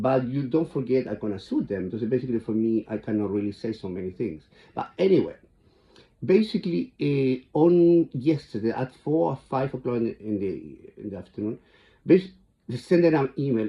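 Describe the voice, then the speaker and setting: Speaking in a strong Chilean accent, a man at a medium pitch makes very wide pitch swings at a moderate pace. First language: Spanish. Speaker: vlogger. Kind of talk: casual monologue. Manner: halting, repetitive.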